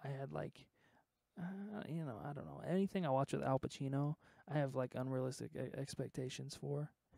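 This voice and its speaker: A man's fairly high-pitched voice with a dark, mellow tone, fairly quick pace, ordinary pitch variation, and a dry sound with no echo against a quiet background. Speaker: streamer and music producer; stream host. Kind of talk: casual chat. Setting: live stream. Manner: halting. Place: studio. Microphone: handheld.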